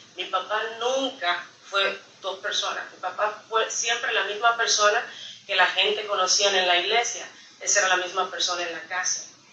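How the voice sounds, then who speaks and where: A woman's fairly even intonation carries through audible room echo. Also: medium pitch for a woman, moderate pace. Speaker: church member giving testimony. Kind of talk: testimony. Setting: church service. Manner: halting, many fillers.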